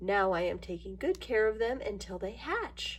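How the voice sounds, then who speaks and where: Over light background noise, a woman performs a put-on character voice at a moderate pace. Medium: read story.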